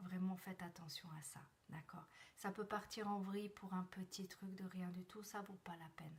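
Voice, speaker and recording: A soft-spoken woman talks in a medium-pitched, somewhat breathy voice. Her intonation is fairly even. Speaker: numerologist and personal development coach. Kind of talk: live stream numerology forecast. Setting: live video stream from a temporary place. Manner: halting.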